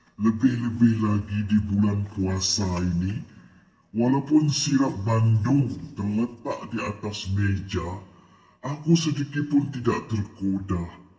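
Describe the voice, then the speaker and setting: The man's voice has a dark, mellow tone and is somewhat breathy. He talks at a very slow pace with lively intonation. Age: 80s+. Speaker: elderly man sharing health tips. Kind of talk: personal testimony, advice.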